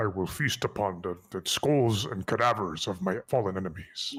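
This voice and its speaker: Putting on a character voice, a man talks at a fairly low pitch and a moderate pace. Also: ordinary pitch variation. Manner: growling, exaggerated.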